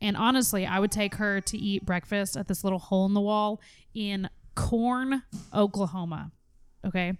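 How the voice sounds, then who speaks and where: A woman speaks in an ordinary speaking voice at a medium pitch and a moderate pace. Her intonation is fairly even, and the recording is very clean with a silent background. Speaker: podcast host. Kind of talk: casual chat. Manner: playful, bantering.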